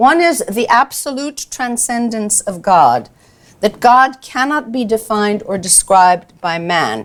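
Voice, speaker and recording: At a fairly slow pace, a woman speaks in a plain, everyday voice that is fairly high, with lively intonation. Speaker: lecturer. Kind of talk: lecture.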